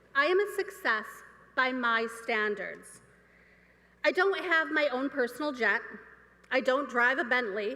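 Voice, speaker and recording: A woman's high, bright, sharp voice with lively intonation at a fairly slow pace. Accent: American. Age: 50s. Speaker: student speaker. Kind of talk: commencement speech. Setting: stage with audience.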